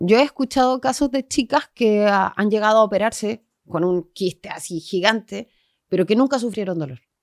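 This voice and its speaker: In a Chilean accent, a woman speaks at a moderate pace with fairly high pitch and lively intonation. The sound is dry and close with no echo, on a very clean recording with a silent background. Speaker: geographer, urban planner, massage therapist. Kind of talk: podcast interview answer.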